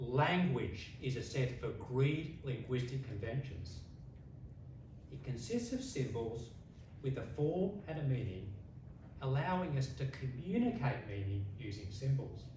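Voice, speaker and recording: Against noticeable background noise and audible room echo, a man of medium pitch speaks fairly slowly with lively intonation in an Australian accent. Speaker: public speaking contestant. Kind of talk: competition speech. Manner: long pauses; slow, deliberate.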